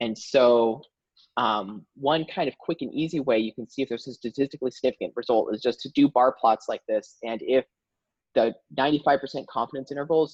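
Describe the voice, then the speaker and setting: Recorded with a dry, close sound and no echo, a man speaks at a fairly quick pace and medium pitch with ordinary pitch variation. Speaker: workshop presenter. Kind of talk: tutorial. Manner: hesitant, many fillers.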